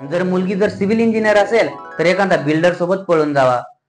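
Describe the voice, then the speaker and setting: Music plays in the background. A man talks with ordinary pitch variation. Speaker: stand-up comedian; farmer's son. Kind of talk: stand-up comedy routine.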